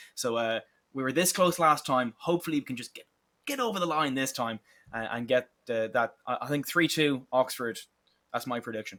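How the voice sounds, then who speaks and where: A man with an Irish accent talks at a fairly quick clip in a medium pitch, his bright, sharp tone carrying ordinary pitch variation. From Ireland. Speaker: esports caster. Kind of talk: live commentary.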